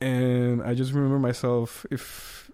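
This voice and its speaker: A man speaks with a Spanish accent in a dark, mellow tone. The recording is very clean with a silent background. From Costa Rica. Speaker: trumpet player. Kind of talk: casual chat.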